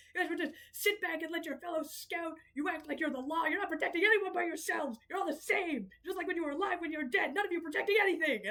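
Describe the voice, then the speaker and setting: Shouting in a put-on character voice at an extremely high pitch, the speaker races along at a very fast pace with hardly any pauses. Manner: yelling angrily.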